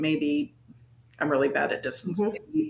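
With an American accent and lively intonation, a woman talks at a fairly quick pace in a room with audible echo. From northern California. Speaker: cryptid and paranormal researcher; guest. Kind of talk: casual interview chat. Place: home room.

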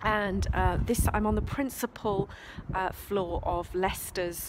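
Speaking at a fairly slow pace, a woman is heard with noticeable background noise around her. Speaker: history travel blogger. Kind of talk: casual vlog tour commentary. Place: open country. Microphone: phone near.

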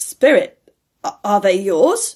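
A woman's put-on character voice, slow and medium-pitched, with big pitch swings and a slightly husky edge.

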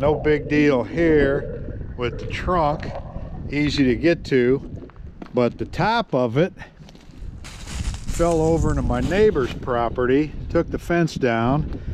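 A man at a very slow pace with ordinary pitch variation, dry sound with no echo and noticeable background noise. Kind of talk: casual vlog chat. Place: forest. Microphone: phone near.

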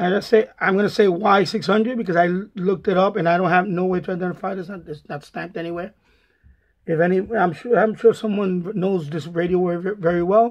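A man talks at a fairly quick pace. His pitch is high, with fairly even intonation.

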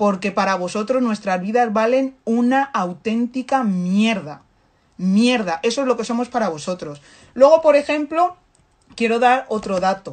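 Animated in tone, a woman speaks at a fairly slow pace with lively intonation and a fairly high pitch. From Africa. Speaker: activist commentator. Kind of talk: impassioned monologue. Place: home room. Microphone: phone near.

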